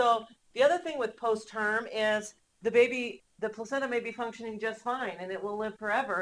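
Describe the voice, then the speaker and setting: Speaking with a normal speaking voice, this woman pitches fairly high and varies it in an ordinary way. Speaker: nursing instructor. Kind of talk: lecture. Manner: many filler ums.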